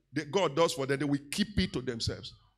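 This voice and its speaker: A man with a Nigerian accent at a very fast pace, against a quiet background. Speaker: pastor. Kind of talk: teaching sermon with call-and-response to congregation. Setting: church. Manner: exhorting, repeatedly demanding 'say amen' from the crowd; conversational with fillers and self-corrections. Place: church. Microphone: handheld.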